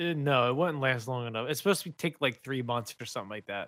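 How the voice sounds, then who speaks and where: This man has a plain, everyday voice, medium in pitch with ordinary pitch variation. He talks at a fairly quick pace. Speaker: podcast co-host. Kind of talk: casual chat.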